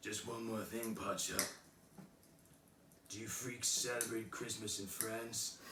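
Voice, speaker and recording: In a put-on character voice, a raspy man speaks fairly slowly at a medium pitch, his deadpan delivery fairly even in intonation and broken by long, frequent pauses, with clear background noise and a slight echo. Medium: read story.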